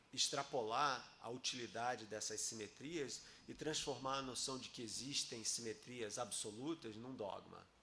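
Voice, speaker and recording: With a bright, sharp tone and medium pitch, a man speaks at a fairly slow pace amid audible room echo. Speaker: physicist giving a talk and debate. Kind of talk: academic debate. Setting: auditorium with audience.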